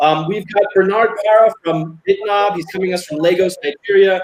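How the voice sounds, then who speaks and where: A man talks in a high voice. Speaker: show host. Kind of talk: casual chat. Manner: fast.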